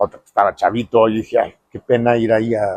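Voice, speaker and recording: A man is heard with a dry, close sound and no echo at all. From Mexico. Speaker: architect. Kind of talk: interview storytelling. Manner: hesitant fillers.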